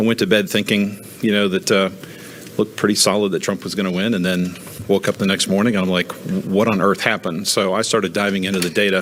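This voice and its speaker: Amid noticeable background noise, a man talks at a fairly quick pace in a fairly low pitch with monotone, flat intonation. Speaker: financial adviser testifying as witness. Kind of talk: testimony. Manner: fast.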